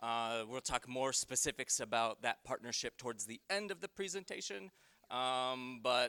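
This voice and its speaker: This man's voice is loud, with a bright, sharp tone, ordinary pitch variation, and a dry, close sound with no echo. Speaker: conference presenter, employment consultant. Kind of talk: conference presentation. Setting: conference room with audience. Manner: casual with many fillers.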